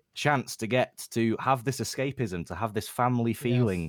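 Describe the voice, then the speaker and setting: In an ordinary speaking voice, a man talks at a moderate pace and medium pitch with lively intonation, in a dry, close sound with no echo and a very clean recording with a silent background. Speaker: football fan community member. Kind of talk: casual chat.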